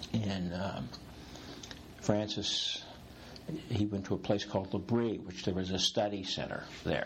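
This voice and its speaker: Amid noticeable background noise, a man with a fairly low pitch speaks fairly slowly and with fairly even intonation, leaving long, frequent pauses. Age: 60s. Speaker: executive coach. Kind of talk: interview conversation. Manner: humorous, playful.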